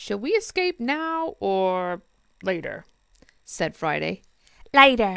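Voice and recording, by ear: A passage read aloud in a natural voice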